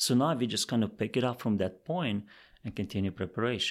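The speaker here is a man. His English carries a non-native accent. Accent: foreign-accented English. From outside Canada, immigrant. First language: not English. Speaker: career advisor. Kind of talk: interview.

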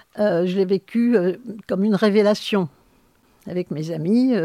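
Recorded very cleanly against a silent background, with a dry, close sound and no echo, a woman speaks very slowly at medium pitch in a dark, mellow tone with ordinary pitch variation. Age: 70s. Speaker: sociologist. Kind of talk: interview. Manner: halting.

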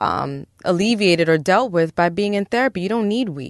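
An American-accented woman with a normal speaking voice at medium pitch and moderate pace, dry and close with no echo over a quiet background. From Brooklyn, New York (Park Slope). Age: 40s. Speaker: psychologist. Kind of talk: therapy-style interview. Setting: studio.

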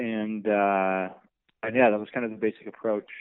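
A man's fairly low-pitched voice in an American accent, monotone and flat in intonation. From US Midwest, St. Louis, Missouri. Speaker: music video director and production company owner. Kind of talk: interview. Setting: call. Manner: hesitant, many fillers.

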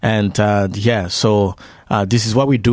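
A man with a French accent at a moderate pace, in a dry, close sound with no echo. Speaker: missionary. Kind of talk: radio interview.

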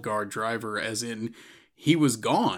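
On a very clean recording with a silent background, a man with an unremarkable speaking voice talks at a fairly slow pace with ordinary pitch variation. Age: 40s. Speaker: podcast host. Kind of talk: casual chat.

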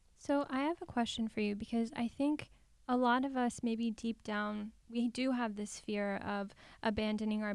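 A woman in a plain, everyday voice speaks at a moderate pace and fairly high pitch, her intonation fairly even. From Los Angeles. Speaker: podcast host and psychotherapist. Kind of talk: scripted outro and ad; interview.

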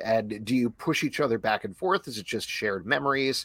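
At a moderate pace, a man speaks in an unremarkable speaking voice at a medium pitch. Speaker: podcast host. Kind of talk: live podcast show, casual chat. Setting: live stream over the internet.

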